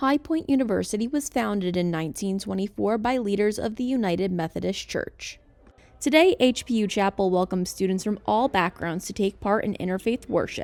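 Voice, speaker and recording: With music in the background, a woman of medium pitch speaks at a fairly quick pace with lively intonation. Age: 20s. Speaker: student news reporter. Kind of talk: news reporting. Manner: formal.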